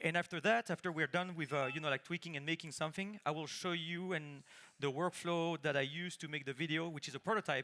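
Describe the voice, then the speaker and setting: A man's fairly high voice in a strong French accent, with fairly even intonation at a fairly quick pace. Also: dry, close sound with no echo. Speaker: conference speaker, engineer. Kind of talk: conference talk, live demo. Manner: casual, many fillers.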